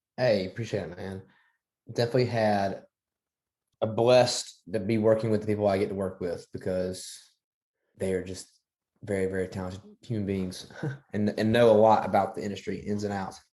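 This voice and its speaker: With long, frequent pauses, a man talks at a fairly quick pace in a fairly low pitch and monotone, flat intonation. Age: young. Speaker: country singer. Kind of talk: interview answer.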